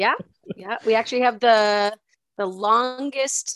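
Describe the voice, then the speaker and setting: A woman with a Maritime Canadian accent, in a dry, close sound with no echo. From Nova Scotia, Canada. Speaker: podcast co-host, school worker. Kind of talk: casual chat.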